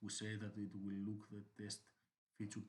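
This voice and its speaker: Moving at a moderate pace, a man with a non-native accent speaks in a fairly low, somewhat breathy voice. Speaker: software developer. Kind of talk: screencast tutorial narration. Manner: hesitant, many fillers.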